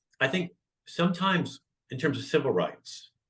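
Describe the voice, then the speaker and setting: With an American accent, a man speaks at a moderate pace in a bright, sharp tone marked by vocal fry. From northern California. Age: 60s. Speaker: comedian. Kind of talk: interview conversation.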